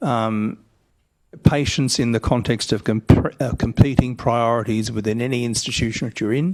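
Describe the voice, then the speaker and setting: The speaker is a man with an Australian accent. He has a medium pitch and a fairly slow pace. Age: 60s. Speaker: education reform panelist. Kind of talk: panel discussion. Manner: halting.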